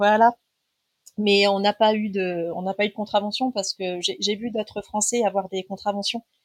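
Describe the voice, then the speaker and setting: A woman talks at a medium pitch and moderate pace, keeping her intonation fairly even. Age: 40s. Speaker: traveller sharing a family trip. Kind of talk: casual interview. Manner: hesitant, many fillers.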